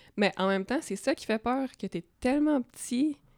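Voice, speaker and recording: With an unremarkable speaking voice, a woman talks at a fairly slow pace and with lively intonation in a very clean recording with a silent background and a dry, close sound with no echo. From rural Quebec, near Drummondville. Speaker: comic book artist. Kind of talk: casual interview chat.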